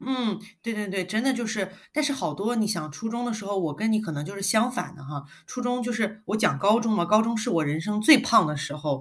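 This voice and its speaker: In a very clean recording with a silent background, a woman speaks somewhat breathily at a fairly quick pace, her fairly high pitch carrying lively intonation. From China, Guangzhou. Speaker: podcast co-host. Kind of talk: casual chat.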